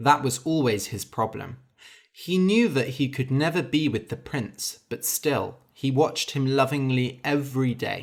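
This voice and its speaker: A fairly slow male speaker with a fairly high pitch and a plain, everyday voice, on a very clean recording with a silent background. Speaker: English teacher and storyteller. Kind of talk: tutorial; reading aloud. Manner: clear, deliberate.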